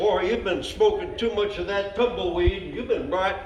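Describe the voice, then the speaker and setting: A man talks rather slowly as noticeable noise runs in the background. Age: 80s+. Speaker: amateur joke teller. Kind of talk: joke telling at a party. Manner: folksy cowboy storytelling.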